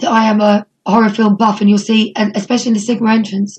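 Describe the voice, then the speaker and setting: Somewhat breathy speech from a woman with an East Anglian accent, fairly high pitch, a dark, mellow tone and a fairly quick pace. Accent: English (East Anglia). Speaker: wrestling promoter. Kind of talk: casual interview.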